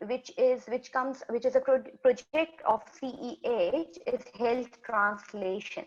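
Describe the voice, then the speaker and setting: A fairly slow delivery in a Pakistani accent, with ordinary pitch variation. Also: woman. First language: Urdu. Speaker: community health worker. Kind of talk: webinar presentation. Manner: halting.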